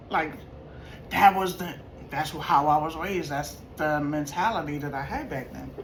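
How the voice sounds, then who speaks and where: Through audible room echo and noticeable background noise, a woman speaks at a very deep, low pitch with ordinary pitch variation and long, frequent pauses. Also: moderate pace. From New York. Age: 50s. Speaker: vlogger. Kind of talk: casual storytelling vlog. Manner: animated.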